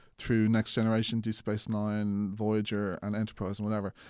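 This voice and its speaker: With an Irish accent, a man speaks at a moderate pace in a fairly low, flat monotone, recorded very cleanly against a silent background. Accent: soft Irish, often heard as Mid-Atlantic. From Ireland. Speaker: filmmaker. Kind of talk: casual interview.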